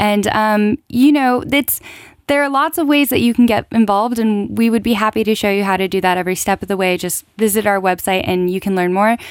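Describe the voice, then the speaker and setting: A woman with a West Coast American accent speaks at a fairly quick pace and a fairly high pitch with ordinary pitch variation. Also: very clean recording, silent background. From California. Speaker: non-profit event organizer. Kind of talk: studio radio interview. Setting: studio.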